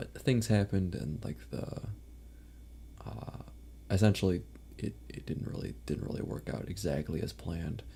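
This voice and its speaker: A man with vocal fry talks at a very deep, low pitch with very wide pitch swings. His pace is moderate, broken by long, frequent pauses. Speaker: vtuber streamer. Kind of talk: casual live stream chat. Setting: live stream. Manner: rambling, filler-heavy.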